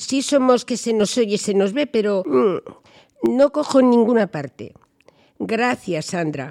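The voice moves at a very slow pace with very wide pitch swings and vocal fry. The sound is dry and close, with no echo. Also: woman. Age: 70s. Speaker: senior women's group leader. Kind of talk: group discussion. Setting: senior center.

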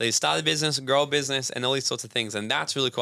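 A very fast, bright and sharp male voice with an Australian accent, vocal fry and lively intonation, in a very clean recording with a silent background. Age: 20s. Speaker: personal development coach. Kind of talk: casual chat.

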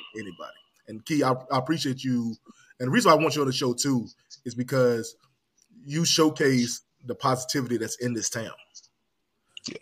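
Ordinary pitch variation marks this man's medium-pitched voice. His pace is moderate. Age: 30s. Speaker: podcast host. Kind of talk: casual chat.

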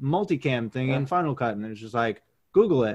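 Here is a man with an American accent and an ordinary speaking voice. His pitch is medium and his intonation lively. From Maine, US. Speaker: former pro baseball player and media producer. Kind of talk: interview.

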